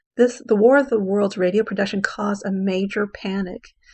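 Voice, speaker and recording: An unremarkable speaking voice from a woman, medium-pitched and moderately paced. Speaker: English teacher. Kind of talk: lecture.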